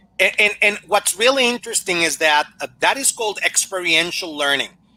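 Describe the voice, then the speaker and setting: A man with a Spanish accent uses a raised, projected voice, high in pitch, with lively intonation. His tone is bright and sharp, and the sound is dry and close with no echo. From Mexico. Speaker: language teaching consultant. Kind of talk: Q&A after a conference talk.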